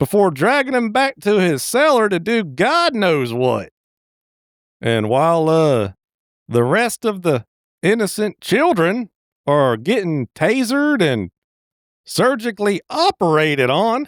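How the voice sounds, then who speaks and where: In a put-on character voice, a man drawls at a fairly slow pace with long, frequent pauses, his high pitch swinging very widely while his loudness stays very even, in a dry, close sound with no echo. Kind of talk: folksy comic movie recap. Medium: solo performance. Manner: rambling, drawling, hesitant fillers, chuckling.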